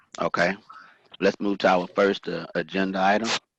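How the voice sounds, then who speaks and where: Dry and close with no echo, a man's fairly low voice with an American accent moves at a fairly quick pace. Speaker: board chairman. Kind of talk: board meeting.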